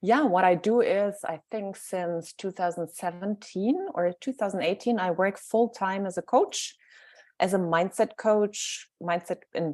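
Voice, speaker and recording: In a German accent, a woman speaks fairly slowly at medium pitch with ordinary pitch variation, the sound dry and close with no echo. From Germany. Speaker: mindset coach. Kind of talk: interview self-introduction.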